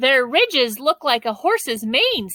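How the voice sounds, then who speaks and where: Putting on a character voice, a woman speaks at a moderate pace in a high pitch, the sound dry and close with no echo. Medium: read story.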